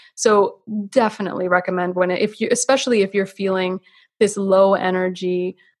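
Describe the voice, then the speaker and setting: A woman with a Canadian accent, a plain, everyday voice at medium pitch, fairly even intonation and moderate pace, dry and close with no echo. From Canada. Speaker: naturopathic physician. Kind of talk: interview on health.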